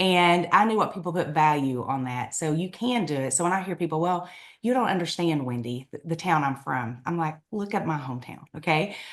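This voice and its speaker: The voice carries a strong eastern Kentucky accent and an animated tone with lively intonation. It runs at a fairly quick pace with hardly any pauses. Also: woman, fairly low pitch for a woman. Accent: strong eastern Kentucky Appalachian. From eastern Kentucky, Appalachia. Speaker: direct sales leader. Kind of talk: podcast interview.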